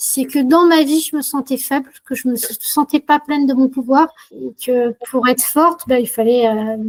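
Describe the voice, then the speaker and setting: Speaking very slowly in a high voice with ordinary pitch variation, a woman comes through with a dry, close sound that has no echo. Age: 60s. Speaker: customer giving a testimonial. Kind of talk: testimony. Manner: hesitant, many filler sounds.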